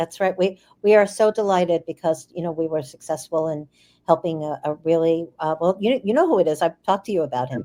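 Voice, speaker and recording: Speaking at a fairly quick pace, a woman has a fairly low pitch, a dark, mellow tone and ordinary pitch variation. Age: 60s. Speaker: attorney and physician. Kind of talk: casual chat.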